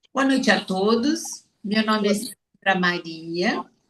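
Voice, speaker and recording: Medium in pitch, a woman's voice comes across as somewhat breathy. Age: 60s. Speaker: pedagogical support worker, study group member. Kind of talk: self-introduction.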